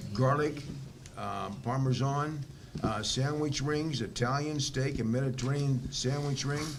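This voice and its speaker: A man with an American accent speaks at a medium pitch and a fairly slow pace. Noticeable background noise and audible room echo fill the recording. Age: 80s+. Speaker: school board member chairing meeting. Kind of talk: public meeting. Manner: halting, many fillers.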